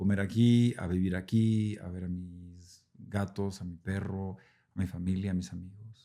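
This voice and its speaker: A man talks in a very deep, low pitch with a dark, mellow tone. His intonation is monotone and flat, on a very clean recording with a silent background. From central Mexico (Mexico City, Puebla, San Luis Potosí). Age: 40s. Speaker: actor. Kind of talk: casual interview chat. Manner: casual, with filler words and repetitions.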